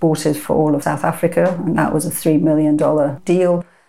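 A woman's very deep, low voice, dark and mellow in tone, flat and monotone at a moderate pace. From Iran, moved to UK at 14. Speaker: entrepreneur and angel investor. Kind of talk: interview.

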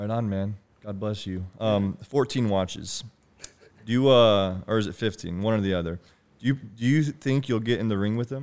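A man's plain, everyday voice at a moderate pace, with ordinary pitch variation. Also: fairly low pitch for a man. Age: 20s. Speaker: podcast host. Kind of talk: casual chat.

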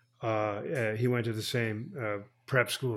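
A man's fairly low pitch with an American accent, monotone, flat intonation and a fairly slow pace, on a very clean recording with a silent background. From northern New Jersey (Bergen County). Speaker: poet and professor. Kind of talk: interview conversation with poetry readings. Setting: bookstore in Miami.

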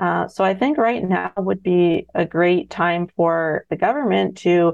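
An ordinary speaking voice with a Canadian accent moves at a fairly slow pace. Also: woman. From Ontario, Canada. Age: 30s. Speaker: farmer. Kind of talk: radio interview.

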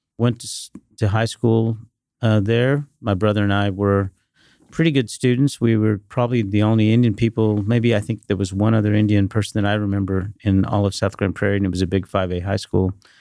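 A dark, mellow tone comes at a fairly quick pace with fairly even intonation, in a dry, close sound with no echo over a quiet background. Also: man, fairly low pitch for a man. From Dallas-Fort Worth, Texas (born in India). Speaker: private equity investor. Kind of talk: interview.

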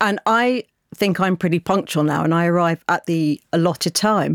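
A woman speaks with a British accent. The recording is very clean and silent in the background, with a dry, close sound and no echo. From Britain. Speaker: podcast producer. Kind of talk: casual chat.

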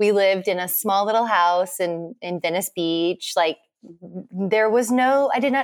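A woman with an American accent speaks at a moderate pace in a medium pitch, her intonation lively. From central Texas. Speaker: homesteader and interior stylist. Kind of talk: casual interview chat.

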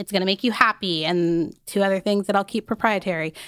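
A woman with an American accent, medium pitch, ordinary pitch variation and a very fast pace, in a dry, close recording with no echo. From Arizona, US. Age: 20s. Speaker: fashion content creator. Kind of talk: casual interview chat.

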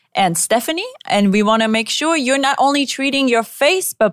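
With a high pitch, lively intonation and an animated tone, a woman talks at a fairly slow pace in a dry, close sound with no echo. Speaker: podcast host. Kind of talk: casual chat.

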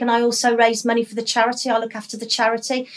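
A woman speaks in a high pitch. Her tone is enthusiastic. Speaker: hospital staff member. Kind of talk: interview chat. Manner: enthusiastic, positive.

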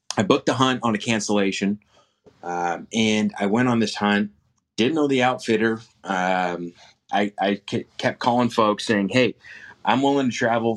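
A man's ordinary speaking voice at a moderate pace, with fairly even intonation. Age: 20s. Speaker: hunter. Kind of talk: casual chat. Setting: remote call.

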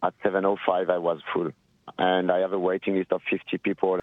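A man with a French accent speaks at a fairly quick pace in a very deep, low voice. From France, Nantes area (Brittany). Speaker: restaurant manager. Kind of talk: street interview. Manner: halting.

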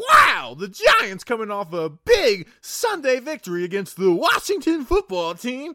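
In a put-on character voice, the speaker projects loudly with very wide pitch swings at a moderate pace and hardly any pauses. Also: man, extremely high pitch for a man. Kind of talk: radio announcer voice.

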